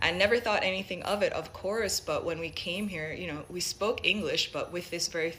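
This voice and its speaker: A woman's medium-pitched voice, with ordinary pitch movement, comes at a moderate pace through noticeable background noise. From Jamaica, Saint Mary (rural), moved to US at seven. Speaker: Jamaican immigrant sharing her story. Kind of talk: personal testimony.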